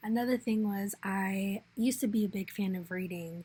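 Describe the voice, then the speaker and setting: Her voice somewhat breathy, a woman talks at a medium pitch with fairly even intonation. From Arizona, Phoenix. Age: 20s. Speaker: returned volunteer / scholarship applicant. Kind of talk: personal video essay. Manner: hesitant, with fillers.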